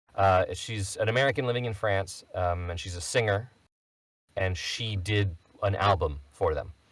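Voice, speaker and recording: At a moderate pace, a man speaks in a fairly low, somewhat breathy voice with ordinary pitch variation. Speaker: voice actor. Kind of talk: casual chat.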